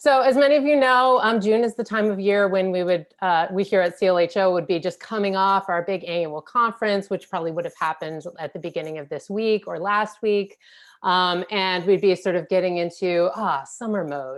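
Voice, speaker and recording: On a very clean recording with a silent background, a woman with an ordinary speaking voice talks at a medium pitch and a fairly quick pace, with ordinary pitch variation and hardly any pauses. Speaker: executive director of a history organization. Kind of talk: event host introduction.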